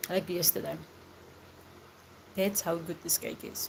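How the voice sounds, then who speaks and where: A woman with a fairly low pitch and vocal fry, at a fairly slow pace. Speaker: live streamer. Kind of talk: casual chat. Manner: whispering, soft.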